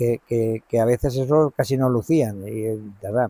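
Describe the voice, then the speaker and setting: Dry and close with no echo, a man's dark, mellow voice moves at a fairly slow pace with ordinary pitch variation. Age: 70s. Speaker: mill owner. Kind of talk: interview. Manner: halting, repetitive.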